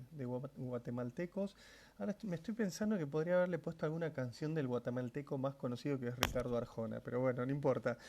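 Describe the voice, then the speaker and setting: A man with an Argentine accent talks at a very fast pace, his pitch fairly high and his tone dark and mellow. His pitch varies in an ordinary way. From Argentina. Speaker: Bible teacher. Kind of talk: livestream Bible study. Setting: live stream at home.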